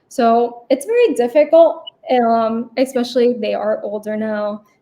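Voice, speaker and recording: A woman's high voice with a Spanish accent, at a fairly slow pace. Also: ordinary pitch variation. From United States, Cuban and Puerto Rican family. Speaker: medical student. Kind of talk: interview.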